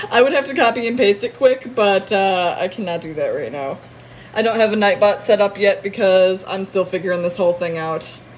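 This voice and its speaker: With an American accent, the speaker talks at a fairly quick pace in an animated tone, with ordinary pitch variation, big swings in loudness, and noticeable background noise. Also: woman, medium pitch for a woman. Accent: northern long O's with slight southern twang. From northern US. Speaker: streamer. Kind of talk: casual live stream chat. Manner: animated, lots of noises.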